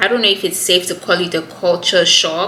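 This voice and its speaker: A woman with a Nigerian accent speaks at medium pitch with ordinary pitch variation. Noticeable background noise is present. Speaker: YouTuber. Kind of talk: casual chat.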